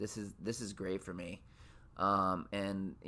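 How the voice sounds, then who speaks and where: This man speaks with a Minnesota accent. His voice is fairly low and his pace fairly slow. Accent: Minnesota accent, gotten stronger. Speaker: podcast host. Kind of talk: casual monologue. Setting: home, on lunch break. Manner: halting, many repeated words.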